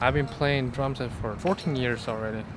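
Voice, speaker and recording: A man speaks with fairly even intonation, his voice carrying audible room echo. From northwest China. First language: Chinese (Tianshui dialect). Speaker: international student, drummer. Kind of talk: interview answers. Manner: halting.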